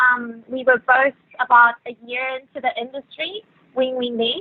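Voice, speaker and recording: A woman speaks in a high voice with a South African accent. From Venezuela. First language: Spanish. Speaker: yacht stewardess. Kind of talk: podcast interview. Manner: hesitant, many fillers.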